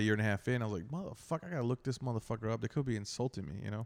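A man speaks in a dry, close sound with no echo on a very clean recording with a silent background. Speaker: stand-up comedian. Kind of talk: casual chat.

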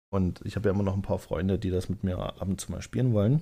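Recorded very cleanly against a silent background, a man's fairly low voice has a dark, mellow tone, vocal fry and lively intonation. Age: 30s. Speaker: podcaster and gamer. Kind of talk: casual solo monologue. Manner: hesitant, many fillers.

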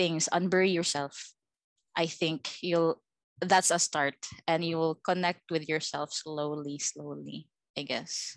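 A woman at a fairly low pitch and very slow pace, with ordinary pitch variation and a dry, close sound with no echo. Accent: Visayan Filipino. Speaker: podcast host. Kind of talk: casual chat.

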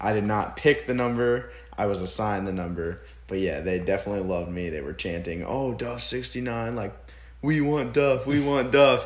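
A man with an American accent talks in a fairly low pitch with lively intonation. Room echo is audible. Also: moderate pace. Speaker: podcast host, college football player. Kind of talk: casual chat.

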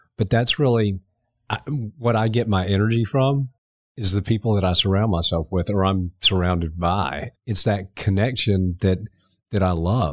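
The man's low pitch shows ordinary pitch variation. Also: moderate pace.

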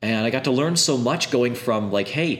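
Against noticeable background noise, a man with a medium-pitched voice talks at a fairly quick pace in an animated tone, his pitch varying in an ordinary way. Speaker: game designer. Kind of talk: interview.

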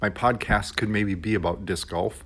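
In a very clean recording with a silent background, a man speaks with a fairly low pitch. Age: 50s. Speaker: school technology coordinator. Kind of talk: casual solo monologue. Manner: hesitant, with fillers.

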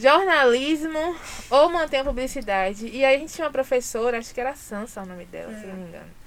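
Talking at a very fast pace, a woman with a high voice swings widely in loudness over noticeable background noise. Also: lively intonation. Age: 30s. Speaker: journalist and press officer. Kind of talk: casual chat.

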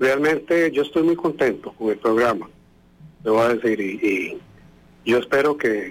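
A man has an ordinary speaking voice, pitched at a medium level. He goes at a fairly slow pace with ordinary pitch variation. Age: 60s. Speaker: radio listener. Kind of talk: phone-in chat.

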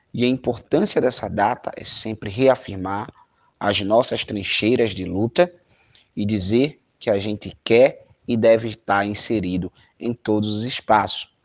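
A man speaks fairly slowly with a normal speaking voice. His pitch is fairly low, with ordinary variation, over a quiet background. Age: 20s. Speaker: youth movement coordinator. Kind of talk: interview. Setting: video call.

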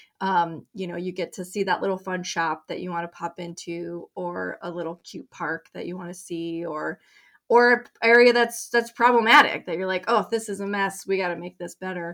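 At a moderate pace and medium pitch, a woman with an American accent uses an ordinary speaking voice with ordinary pitch variation, hardly any pauses and big swings in loudness, on a very clean recording with a silent background. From Colorado. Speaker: nonprofit director. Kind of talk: interview.

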